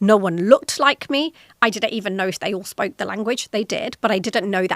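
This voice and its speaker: A woman with a British accent, a fairly high pitch and lively intonation, in a dry, close sound with no echo. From Britain. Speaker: podcast host, corporate executive. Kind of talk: solo podcast talk.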